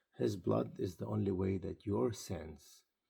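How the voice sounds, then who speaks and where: A man speaks at a very slow pace in a very deep, low pitch. His tone is dark and mellow, with vocal fry. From Israel. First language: Arabic or Hebrew. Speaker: pastor. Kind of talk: sermon-style video talk.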